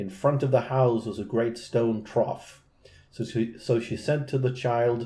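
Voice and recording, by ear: A natural reading-aloud voice, intonation fairly even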